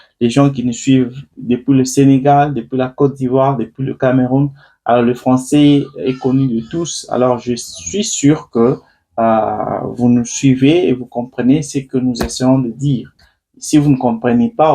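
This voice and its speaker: A man with a dark, mellow tone talks at a fairly slow pace and medium pitch, his intonation fairly even. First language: not French; limited Lingala (speaking French). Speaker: online political commentator. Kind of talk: live stream commentary. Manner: hesitant, many fillers.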